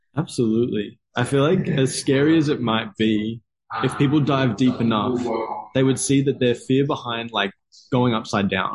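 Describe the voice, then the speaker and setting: A man at a medium pitch with an Australian accent. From Australia, Gold Coast. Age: 20s. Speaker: movement coach. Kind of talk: casual chat.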